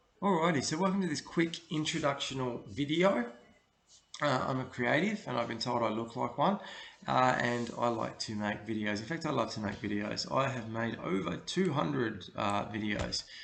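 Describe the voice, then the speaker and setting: An Australian-accented man speaks in a relaxed tone with vocal fry. His pitch swings very widely. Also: medium pitch for a man, moderate pace. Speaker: creative director, video producer. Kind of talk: casual talk to camera, portfolio walkthrough. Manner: relaxed, hesitant, many fillers.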